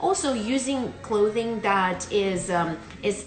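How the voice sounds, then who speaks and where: A woman speaks with noticeable background noise and audible room echo. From Romania. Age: 30s. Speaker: beauty and skin care content creator. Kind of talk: live Q&A. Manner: mumbling; hesitant, many fillers.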